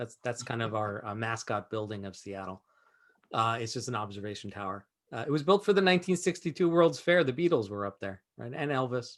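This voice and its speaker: Fairly quick and full of big swings in loudness, this man's delivery also has very wide pitch swings. His pitch is medium. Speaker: entrepreneur and investor teaching a webinar. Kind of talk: webinar presentation. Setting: video call. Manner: fast; animated.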